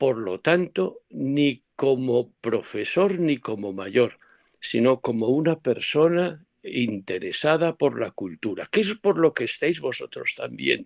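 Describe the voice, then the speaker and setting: The speech moves at a very slow pace with hardly any pauses and very wide pitch swings, the sound dry and close with no echo. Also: man, fairly high pitch for a man. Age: 70s. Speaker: professor. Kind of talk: lecture. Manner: halting.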